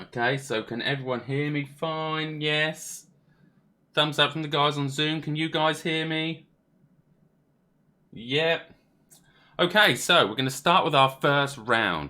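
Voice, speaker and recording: This man's voice is fairly high in pitch, with a bright, sharp tone. He talks at a fairly slow pace. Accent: Norfolk. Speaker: quiz host. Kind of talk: live virtual quiz hosting. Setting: live stream with video call participants.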